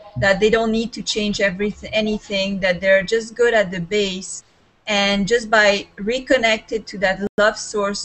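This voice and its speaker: A woman of medium pitch speaks at a fairly slow pace with fairly even intonation. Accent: Serbian. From Serbia. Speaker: life coach. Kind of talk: video call discussion.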